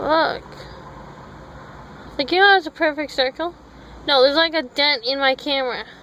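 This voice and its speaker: A woman mumbles at a moderate pace and a high pitch, her intonation fairly even. Long, frequent pauses break up her speech over noticeable background noise. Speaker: vlogger. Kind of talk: casual vlog chat.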